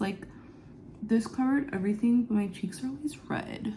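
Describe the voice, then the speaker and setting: Her voice fairly high, somewhat breathy and dark, mellow in tone, a woman speaks at a fairly slow pace with ordinary pitch variation. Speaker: beauty vlogger. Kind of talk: get ready with me vlog. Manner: casual, chatty.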